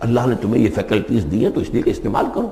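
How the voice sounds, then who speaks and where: A man's voice over noticeable background noise. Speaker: Islamic scholar. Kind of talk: Islamic lecture with Quran commentary.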